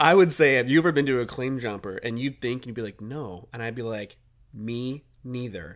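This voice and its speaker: In a very clean recording with a silent background, a man talks at a fairly quick pace in an animated tone, with a medium pitch, ordinary pitch variation and big swings in loudness. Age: 30s. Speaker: podcast co-host. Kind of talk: casual chat.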